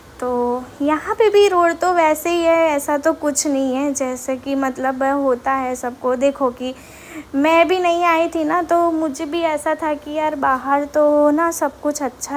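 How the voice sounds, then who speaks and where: Fairly even intonation in a Gujarati accent, with noticeable background noise. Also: woman. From Gujarat, India. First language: Gujarati (speaking Hindi). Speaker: vlogger. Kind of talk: walking vlog tour. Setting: outdoors on street. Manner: casual, hesitant with fillers.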